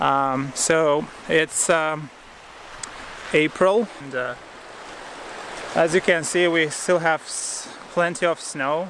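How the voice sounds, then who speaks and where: Fairly even intonation comes through a dry sound with no echo and noticeable background noise. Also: man. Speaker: hiking vlogger. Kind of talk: casual vlog chat. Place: forest. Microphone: phone near.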